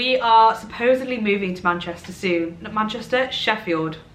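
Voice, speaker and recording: Noticeable background noise and audible room echo surround a woman whose speech moves at a moderate speed. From Derbyshire, England. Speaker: social media creator. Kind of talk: casual chat to camera. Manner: chatty, rambling with fillers.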